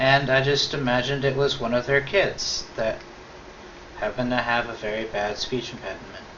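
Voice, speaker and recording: Talking at a moderate pace, a man is heard with audible room echo and noticeable background noise. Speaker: video co-host. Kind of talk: casual chat. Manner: rambling.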